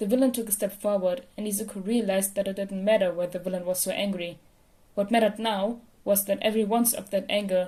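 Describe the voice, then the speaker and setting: A woman speaks at a very fast pace in a medium pitch with fairly even intonation. Her tone is dark and mellow, and somewhat breathy. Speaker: podfic reader. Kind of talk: fan fiction audiobook reading.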